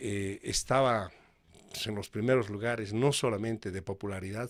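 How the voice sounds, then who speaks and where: This man's pitch is fairly low, with ordinary variation, and he speaks at a fairly slow pace. The recording is very clean, with a silent background. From Bolivia. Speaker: radio announcer. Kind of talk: interview answer.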